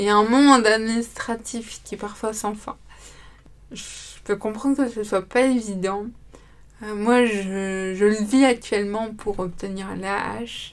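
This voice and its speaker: Speaking very slowly with long, frequent pauses, a woman uses a fairly high pitch and fairly even intonation while her loudness swings widely. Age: 20s. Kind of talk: testimony. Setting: studio.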